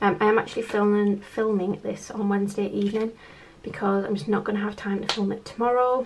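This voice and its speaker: A woman at a moderate pace, monotone and flat in intonation, over light background noise. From UK. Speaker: budget vlogger. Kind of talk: casual vlog chat. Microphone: camera far.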